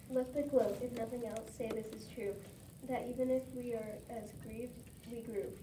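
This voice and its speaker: Against noticeable background noise, a woman with a fairly high pitch speaks at a moderate pace in monotone, flat intonation. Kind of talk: poetry reading.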